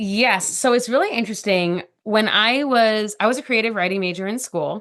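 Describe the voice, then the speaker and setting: A woman talks at a moderate pace in a plain, everyday voice. Her pitch is fairly high, with ordinary pitch variation. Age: 40s. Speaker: podcast guest sharing personal story. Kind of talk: conversational interview.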